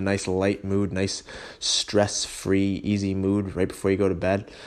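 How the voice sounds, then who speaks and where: Against a quiet background, a man with a fairly low pitch speaks with an American accent. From western New York (Holley area). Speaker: fitness podcast host. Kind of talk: casual solo podcast talk. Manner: casual with frequent fillers (um, you know).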